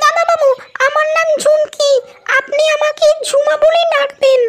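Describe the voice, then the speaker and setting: A woman puts on a cartoonish character voice pitched extremely high. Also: moderate pace. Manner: deferential, coy.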